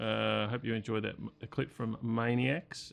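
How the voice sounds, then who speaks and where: The pace is fairly slow. A man delivers it in a medium-pitched voice. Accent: Australian. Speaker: metal podcast host. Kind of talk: casual chat. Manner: halting.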